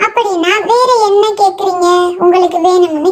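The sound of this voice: Using a cartoonish character voice, a woman speaks squeaky and extremely high at a very slow pace.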